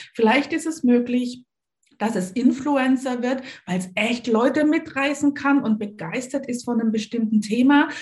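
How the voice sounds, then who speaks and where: With an enthusiastic tone, a woman talks at a high pitch with ordinary pitch variation. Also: moderate pace. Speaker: learning coach and author. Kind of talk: interview.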